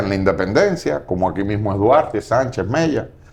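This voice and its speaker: A man speaks with very wide pitch swings. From Cuba, Marianao (Havana). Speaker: political analyst. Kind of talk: TV interview. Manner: hesitant, with fillers.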